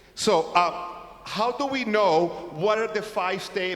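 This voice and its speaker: A man with an American accent is heard over noticeable background noise, with audible room echo. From California. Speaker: conference workshop presenter. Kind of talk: lecture. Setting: church conference workshop with audience.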